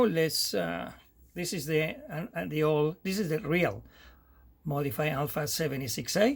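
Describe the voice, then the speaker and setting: At a fairly slow pace, a man with an Argentine accent talks at a fairly high pitch in a very clean recording with a silent background. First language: Spanish. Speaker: amateur radio operator. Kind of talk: tutorial. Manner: halting.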